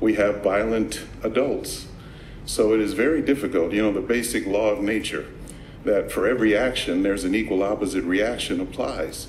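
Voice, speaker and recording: Audible room echo surrounds a man with an American accent whose pitch is fairly low, varying in an ordinary way, as he speaks at a moderate pace. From Los Angeles, South Central. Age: 60s. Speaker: public commenter, martial arts instructor. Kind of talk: public comment at meeting.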